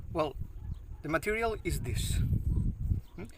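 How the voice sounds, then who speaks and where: A man with a Catalan accent speaks with lively intonation. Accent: non-native English, Catalan. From Catalonia, Spain (Maestrat, Valencian country). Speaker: bushcraft instructor. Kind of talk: outdoor tutorial. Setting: outdoors, backyard; outdoors near a road. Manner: halting, with fillers.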